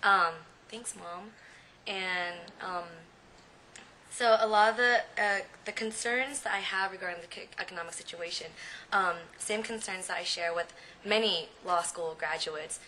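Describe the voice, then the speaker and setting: In an American accent, a woman of medium pitch speaks at a moderate pace with ordinary pitch variation, big swings in loudness and long, frequent pauses. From San Jose, California. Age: 20s. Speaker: recent law graduate. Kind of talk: personal testimony. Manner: halting, many fillers.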